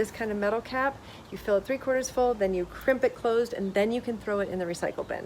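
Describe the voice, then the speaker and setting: With lively intonation, a woman in an unremarkable speaking voice talks at a fairly high pitch. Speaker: sustainability blogger. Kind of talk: tutorial.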